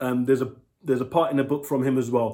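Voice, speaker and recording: A man talks in a London accent. His pitch sits in the medium range. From London, England. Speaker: book reviewer. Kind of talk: casual vlog review. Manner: halting, many fillers.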